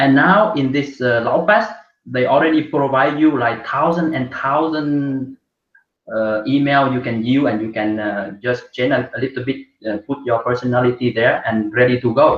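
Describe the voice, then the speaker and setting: Here a man talks at a moderate pace with a non-native accent. His pitch sits at a medium level with ordinary variation. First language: not English. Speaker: course student. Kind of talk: testimony. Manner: halting.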